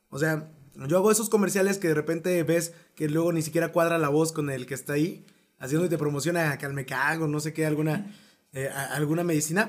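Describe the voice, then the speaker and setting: Using a normal speaking voice, a man talks fairly quickly at a fairly high pitch with fairly even intonation. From Mexico. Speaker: podcast host and voice actor. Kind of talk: casual chat.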